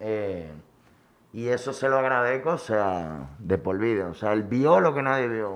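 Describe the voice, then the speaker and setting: At a fairly slow pace, a man with a fairly low pitch and an unremarkable speaking voice talks with lively intonation. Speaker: chef. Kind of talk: personal life story interview.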